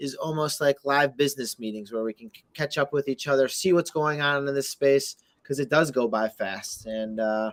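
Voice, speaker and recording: A man's normal speaking voice, fairly high in pitch with ordinary variation, at a moderate pace, in a dry, close sound with no echo. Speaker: crypto community show host. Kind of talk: casual chat. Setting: live video Twitter Space.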